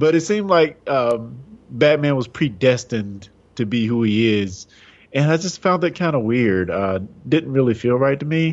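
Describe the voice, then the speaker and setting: A man with a normal speaking voice talks at a moderate pace and medium pitch, using lively intonation. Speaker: podcast co-host. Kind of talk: casual chat.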